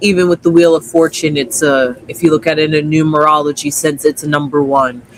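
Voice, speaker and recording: A man's fairly high voice, fairly even intonation and moderate pace, with noticeable background noise. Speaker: tarot reader. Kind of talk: casual chat.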